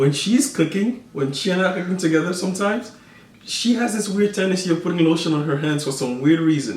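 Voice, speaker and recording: A high-pitched man talks very fast with lively intonation in a West African accent. Audible room echo and noticeable background noise surround his voice. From Ivory Coast, raised in the Bronx. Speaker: vlogger's husband. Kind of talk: casual chat.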